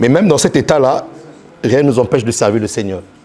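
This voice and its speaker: With ordinary pitch variation and a medium pitch, a man talks at a moderate pace while noticeable background noise fills the recording. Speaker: pastor. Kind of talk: sermon. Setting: church. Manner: repetitive, halting.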